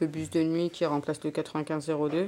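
This woman has a very deep, low voice with a dark, mellow tone. Her intonation is monotone and flat. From Paris suburbs (Garges-lès-Gonesse). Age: 20s. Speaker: unemployed young mother. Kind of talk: casual chat. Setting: home kitchen.

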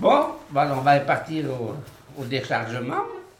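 A man's speech carries audible room echo, with noticeable background noise around it. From rural France. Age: 60s. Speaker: poultry farmer. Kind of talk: casual chat.

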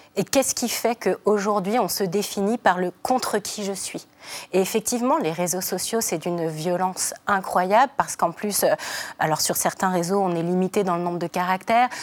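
This is a normal speaking voice from a woman, medium in pitch. She talks at a moderate pace with ordinary pitch variation. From France. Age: 40s. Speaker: feminist activist. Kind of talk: TV panel debate.

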